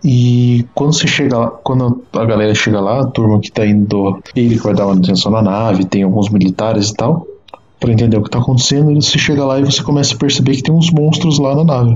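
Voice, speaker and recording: Very fast speech from a man, medium in pitch, with ordinary pitch variation over noticeable background noise. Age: 20s. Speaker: engineering student and independent writer. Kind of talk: casual chat.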